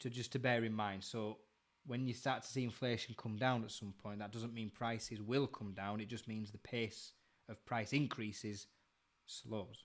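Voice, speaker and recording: A man speaks with a Yorkshire accent in a flat, monotone delivery, recorded very cleanly against a silent background. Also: medium pitch for a man, moderate pace. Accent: Bradford. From northern England, Bradford. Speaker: live stream co-host, industry commentator. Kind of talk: casual live stream chat.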